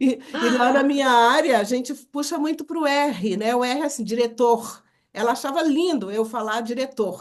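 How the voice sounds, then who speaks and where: Her tone is animated as this woman speaks at a high pitch. She talks at a moderate pace with ordinary pitch variation. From Brazil, Minas Gerais. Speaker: book coauthor and public speaker. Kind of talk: casual interview chat. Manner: animated storytelling.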